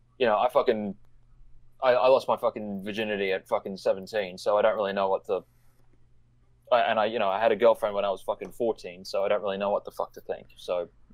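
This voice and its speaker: This man has an Australian accent. His words come out very fast. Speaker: online commentator. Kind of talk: casual discussion.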